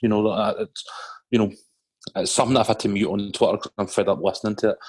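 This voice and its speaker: A man with a Scottish accent. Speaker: podcast co-host. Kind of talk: casual chat.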